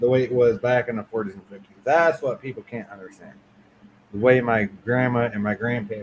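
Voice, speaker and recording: The pace is fairly quick, and the loudness swings widely. It is an ordinary speaking voice. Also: man, medium pitch for a man, fairly even intonation. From Michigan, central Lower Peninsula. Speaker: livestream guest. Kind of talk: casual chat.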